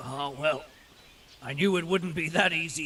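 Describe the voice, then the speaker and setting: Doing a put-on character voice, a man speaks raspy and fairly high-pitched at a moderate pace with fairly even intonation. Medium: video game.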